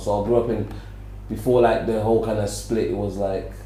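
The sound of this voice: Amid audible room echo, a man with a fairly low pitch talks at a fairly quick pace in a fairly even intonation.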